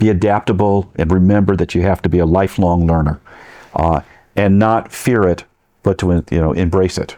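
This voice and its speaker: A man with an American accent has a very deep, low pitch and a dark, mellow tone. His loudness stays very even, and his intonation is fairly even. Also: moderate pace. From Connecticut (Bloomfield), US Northeast. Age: 70s. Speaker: professor. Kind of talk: interview. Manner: halting.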